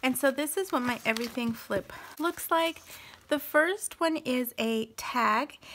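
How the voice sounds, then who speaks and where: A woman speaks with a high voice and lively intonation. Her pace is fairly slow. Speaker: papercraft youtuber. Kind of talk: craft show-and-tell. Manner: casual chatty.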